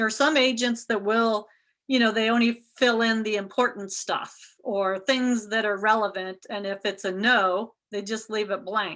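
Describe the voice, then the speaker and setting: A woman's bright, sharp voice at a fairly high pitch, with a Midwestern American accent, fairly even intonation and a quiet background. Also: moderate pace. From US Midwest, Ohio. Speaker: real estate instructor. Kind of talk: lecture.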